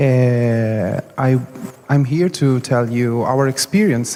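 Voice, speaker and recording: A man speaks at medium pitch. Noticeable noise sits in the background. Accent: Italian. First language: Italian. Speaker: festival organizer. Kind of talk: conference panel talk. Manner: halting, many hesitations.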